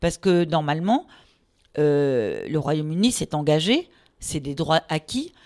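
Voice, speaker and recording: A woman's voice moves through very wide pitch swings. The sound is dry and close, with no echo. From France, Paris region. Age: 50s. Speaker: law professor. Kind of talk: casual interview.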